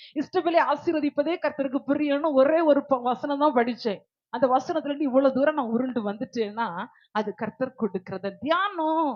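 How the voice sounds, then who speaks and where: A woman speaks loudly in a high pitch. Her intonation is lively. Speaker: preacher. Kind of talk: sermon.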